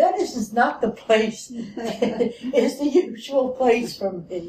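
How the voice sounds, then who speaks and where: With a Philadelphia accent, a woman speaks with lively intonation over noticeable background noise. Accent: Philadelphia American English. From US Northeast, Philadelphia. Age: 80s+. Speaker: retired discussion participant. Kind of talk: group discussion.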